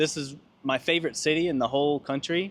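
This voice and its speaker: Fairly even intonation from a man with an unremarkable speaking voice. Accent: American. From US, Georgia. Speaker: language student, Navy veteran. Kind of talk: interview answers.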